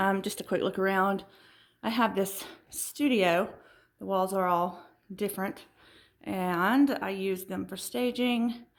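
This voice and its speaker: Southern US accent from a woman at a fairly slow pace, with long, frequent pauses, in a very clean recording with a silent background. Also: medium pitch for a woman, ordinary pitch variation. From US South. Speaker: furniture refinisher and video host. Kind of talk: tutorial. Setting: home studio and garage. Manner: casual with fillers.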